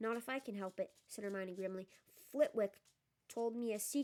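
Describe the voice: Plain reading aloud with ordinary pitch variation, over a quiet background.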